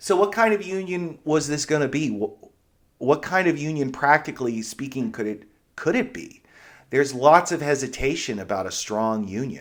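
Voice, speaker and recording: The recording is very clean, with a silent background. The speaker has a slight Pittsburgh accent and very wide pitch swings. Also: man, fairly high pitch for a man, moderate pace. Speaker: history lecturer, podcast host. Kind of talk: lecture. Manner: conversational, with fillers and restarts.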